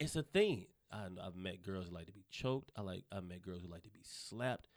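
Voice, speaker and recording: A man speaks with a Southern US accent. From US South, North Carolina. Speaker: comedian. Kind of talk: casual chat. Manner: fast talker.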